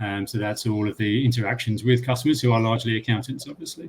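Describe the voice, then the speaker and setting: Somewhat breathy, a man's voice sits at medium pitch with fairly even intonation. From United Kingdom. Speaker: software company customer lead. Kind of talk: panel discussion.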